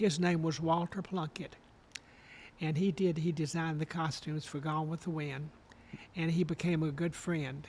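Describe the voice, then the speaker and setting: At a moderate pace, a man with an Alabama accent speaks in a fairly high pitch with monotone, flat intonation and long, frequent pauses. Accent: Southern US (Alabama). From Alabama, Guntersville. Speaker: retired costume designer and professor. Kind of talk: interview, personal reminiscence.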